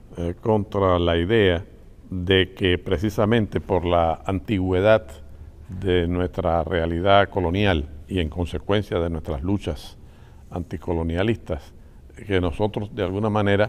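A man's very deep, low voice at a fairly slow pace with fairly even intonation. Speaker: interviewee. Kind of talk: interview answer. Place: studio.

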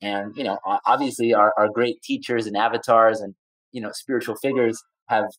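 With a normal speaking voice, a man talks at medium pitch and a fairly quick pace, his intonation fairly even and the sound dry and close with no echo. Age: 40s. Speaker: environmental activist and entrepreneur. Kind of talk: interview.

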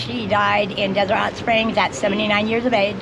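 At a moderate pace, a woman talks at a medium pitch with vocal fry amid clear background noise.

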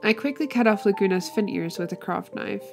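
Music plays in the background. A woman speaks with a fairly high pitch. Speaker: doll customizer. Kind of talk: tutorial. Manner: spaced out.

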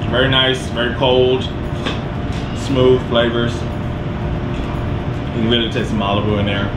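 Music playing underneath a man's moderately paced speech. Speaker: cocktail show host. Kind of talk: casual interview chat. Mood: relaxed, amused. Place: bar.

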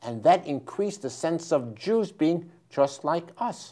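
Over a quiet background, a man with a New York accent speaks at a fairly slow pace with lively intonation. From New York, the Bronx. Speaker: history professor and author; history professor. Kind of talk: interview. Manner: halting. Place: studio. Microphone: lapel.

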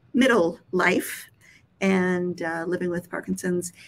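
At a fairly slow pace, a woman speaks at a medium pitch. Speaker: nonprofit executive director, interviewer; interviewer. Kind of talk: interview conversation. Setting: live stream video call. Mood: warm, friendly. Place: home room.

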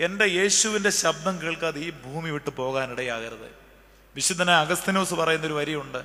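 A man talks with a bright, sharp tone. His pitch varies in an ordinary way. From Kerala, India. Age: 40s. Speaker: priest. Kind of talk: sermon. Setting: church. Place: church. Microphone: podium.

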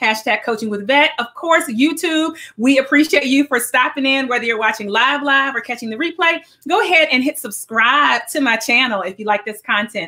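At a fairly quick pace, a woman speaks in a raised, projected voice with lively intonation. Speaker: radio show host. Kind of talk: show host opening. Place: home room.

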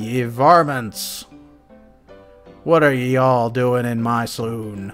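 A man speaks at a medium pitch in a put-on character voice. His delivery is very slow, with faint music in the background. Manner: gruff, in-character.

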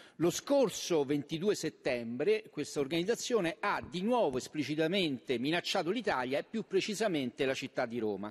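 A man talks at a moderate pace with a fairly high pitch, very wide pitch swings and hardly any pauses. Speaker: member of parliament. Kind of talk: parliamentary oratory, formal question on terrorism; parliamentary question. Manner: hesitant, filler-heavy, repeating words. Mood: serious, formal. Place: hall. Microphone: podium.

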